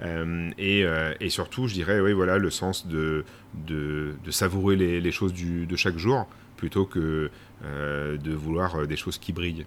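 A man with a very deep, low pitch at a very slow pace. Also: fairly even intonation. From Paris region, France. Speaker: company president. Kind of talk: interview. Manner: hesitant, many fillers.

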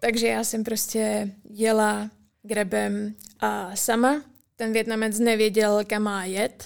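Her pitch is fairly high. This woman's intonation stays monotone, flat. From Czech Republic, rural village. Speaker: university student. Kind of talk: casual interview.

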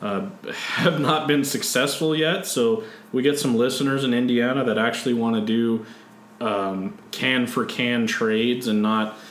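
A man with an American accent talks at medium pitch and a fairly slow pace, with ordinary pitch variation. There is audible room echo and noticeable background noise. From San Diego, California. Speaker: podcast host. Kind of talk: casual chat.

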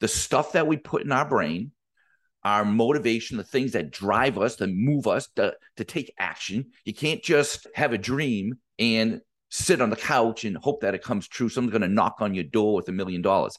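With a quiet background, a man speaks in an animated tone at a medium pitch and moderate pace, his intonation lively. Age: 50s. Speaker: business coach podcast host. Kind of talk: motivational solo podcast monologue.

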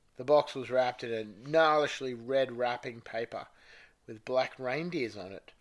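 Pitch shifts the usual amount here. The delivery is plain reading aloud.

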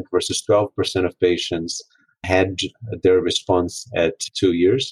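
Speaking at a fairly slow pace, a man sounds somewhat breathy. The sound is dry and close with no echo. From Brazil. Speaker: oncologist. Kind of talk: expert panel discussion.

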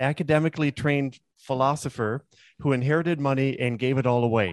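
At a fairly quick pace, a man speaks at a medium pitch. The sound is dry and close with no echo against a quiet background. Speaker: podcast host and attorney. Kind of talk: casual interview. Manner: hesitant, filler-heavy.

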